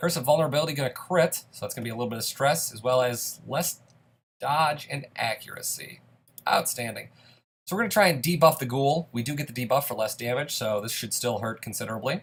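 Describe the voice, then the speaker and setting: Fairly quick, upbeat male speech, somewhat breathy, with ordinary pitch variation. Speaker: gaming youtuber. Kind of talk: let's play commentary. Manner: casual, upbeat.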